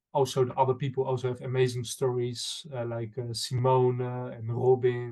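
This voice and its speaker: A man's medium-pitched, somewhat breathy voice with a Dutch accent, moderate pace, flat monotone intonation and a dark, mellow tone. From Netherlands. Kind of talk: interview. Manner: halting, many fillers.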